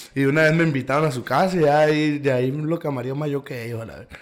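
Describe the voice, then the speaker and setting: A fairly high-pitched man with a northern Mexican accent over noticeable background noise. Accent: northern Mexican (Sonora). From Caborca, Sonora, Mexico. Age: 20s. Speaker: musician. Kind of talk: casual interview.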